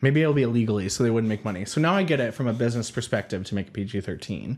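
Music plays behind a man who speaks very fast with an American accent and lively intonation. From California. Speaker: podcast host. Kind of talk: casual chat while drinking.

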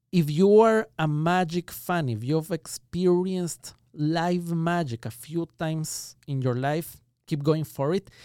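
Recorded very cleanly over a silent background with a dry, close sound and no echo, a man with an Ecuadorian accent speaks at a fairly slow pace with hardly any pauses, his fairly high pitch, ordinary pitch variation and dark, mellow tone all clear. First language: Spanish. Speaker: magician. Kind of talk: interview conversation. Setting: studio.

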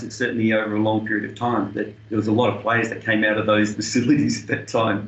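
Someone with an Australian accent talks at a very fast pace over noticeable background noise. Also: man. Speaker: tennis coach and senior player. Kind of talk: interview.

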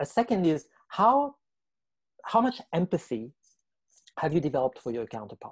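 Recorded with a dry, close sound with no echo, a man's somewhat breathy, fairly high voice makes very wide pitch swings at a moderate pace. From France. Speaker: writer and governance entrepreneur. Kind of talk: interview.

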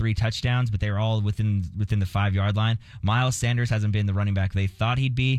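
This is an ordinary speaking voice. The intonation stays fairly even. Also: man. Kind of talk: casual sports banter on radio. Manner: conversational, joking, informal.

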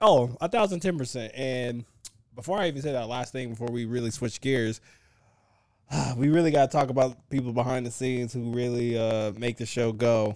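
At a fairly quick pace, a man with a medium pitch speaks in a plain, everyday voice with ordinary pitch variation. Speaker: podcast host. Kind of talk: game show host style intro, mock announcer.

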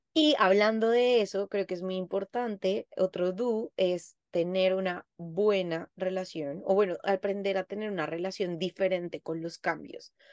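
Her tone animated and her pitch medium with ordinary variation, a woman speaks fairly slowly with hardly any pauses, the sound dry and close with no echo. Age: 30s. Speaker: psychologist. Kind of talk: casual chat.

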